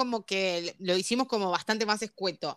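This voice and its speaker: A woman's bright, sharp voice in a Rioplatense accent, at a fairly slow pace. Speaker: podcast co-host. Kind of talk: casual chat.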